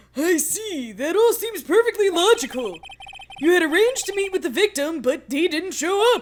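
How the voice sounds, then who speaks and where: Put-on character voice, extremely high in pitch, at a moderate pace. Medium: game stream. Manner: formal, mild.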